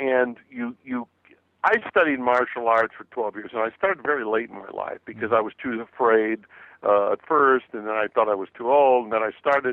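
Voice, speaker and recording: Medium in pitch, a man with an unremarkable speaking voice talks at a moderate pace with ordinary pitch variation. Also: big swings in loudness. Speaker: motivational speaker and author. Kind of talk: radio interview.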